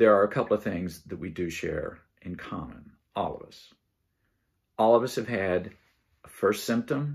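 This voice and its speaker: A man at a fairly low pitch, moderate pace, and ordinary pitch variation. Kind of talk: casual vlog chat. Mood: calm, reflective. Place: home room. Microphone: phone near.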